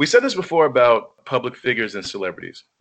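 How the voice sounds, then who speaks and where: Swinging very widely in pitch, a man speaks in a fairly high voice. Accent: American. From New York. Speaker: podcast co-host. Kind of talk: casual chat.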